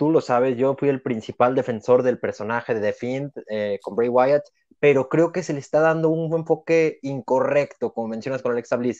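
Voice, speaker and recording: Speaking with a Mexican accent, a man has a fairly high pitch. The sound is dry and close with no echo against a quiet background. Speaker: wrestling podcast co-host. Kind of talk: casual chat.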